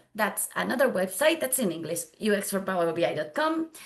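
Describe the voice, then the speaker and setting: A woman with a Spanish accent and very wide pitch swings. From Spain. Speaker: data visualization consultant. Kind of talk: conference tutorial. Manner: halting non-native speech.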